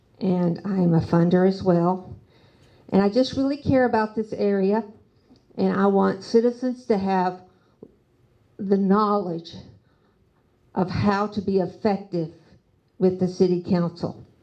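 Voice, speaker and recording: Speaking in a Southern accent, a woman uses a dark, mellow tone at medium pitch with ordinary pitch variation, a fairly slow pace and long, frequent pauses. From US South, Nashville. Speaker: city council candidate. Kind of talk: candidate forum speech.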